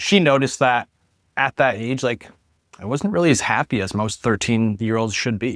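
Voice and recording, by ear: A man speaks at medium pitch and a moderate pace, with ordinary pitch variation and a fairly bright tone. The sound is dry and close with no echo, in a very clean recording with a silent background.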